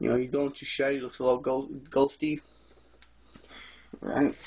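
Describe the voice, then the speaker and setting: A man at a fairly high pitch, with noticeable background noise. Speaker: reptile keeper vlogger. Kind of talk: casual video tour. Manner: fast. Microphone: phone recording.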